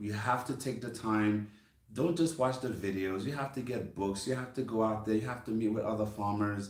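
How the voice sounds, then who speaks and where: With an American accent, a man speaks at a moderate pace and medium pitch, amid noticeable background noise and audible room echo. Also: ordinary pitch variation. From US, Brooklyn, New York City. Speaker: farmer and channel host. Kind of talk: casual chat.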